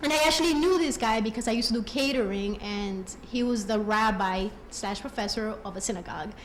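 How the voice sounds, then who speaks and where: A fairly high-pitched woman with a Colombian accent and lively intonation, at a fairly quick pace with hardly any pauses, amid noticeable background noise and audible room echo. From Colombia, raised in US. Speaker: program alumna giving tribute. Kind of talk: personal testimony speech.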